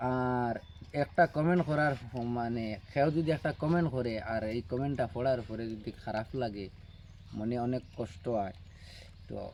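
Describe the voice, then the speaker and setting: This man has a normal speaking voice. His pitch is medium, with ordinary variation. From Barak Valley, Assam, India. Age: 30s. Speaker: vlogger. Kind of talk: casual vlog talk to viewers.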